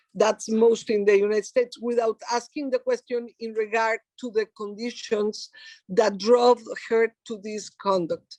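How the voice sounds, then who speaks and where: The speaker has a Mexican accent, with fairly even intonation and a fairly slow pace. Loudness swings widely, and the sound is dry and close, with no echo. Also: woman, fairly high pitch for a woman. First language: Spanish. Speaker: human rights activist. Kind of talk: lecture. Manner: halting.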